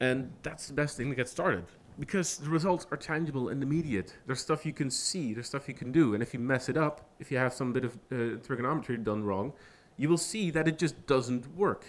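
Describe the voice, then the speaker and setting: A man with a non-native accent, medium pitch, ordinary pitch variation and a fairly quick pace. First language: not English. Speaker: software engineer giving a guest talk. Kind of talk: lecture.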